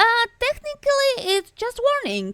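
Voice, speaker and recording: In a put-on character voice, a woman squeaks at an extremely high pitch with ordinary pitch variation and a moderate pace, the sound dry and close with no echo. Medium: virtual streamer. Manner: casual, easygoing.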